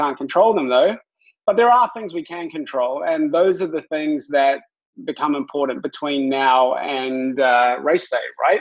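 A man with a New Zealand accent speaks at a fairly high pitch and a fairly slow pace. His intonation is lively, and the background is quiet. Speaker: fitness coach, former triathlete. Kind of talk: webinar presentation. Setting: video call. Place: home room. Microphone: webcam.

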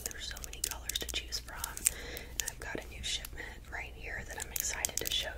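A woman at a moderate pace over loud background noise. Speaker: ASMR creator. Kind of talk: ASMR whispering. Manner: whispered, soft-spoken. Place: home room. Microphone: studio mic.

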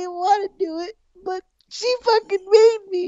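A man's put-on character voice at an extremely high pitch and a fairly slow pace. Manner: whimpering, panicky, remorseful.

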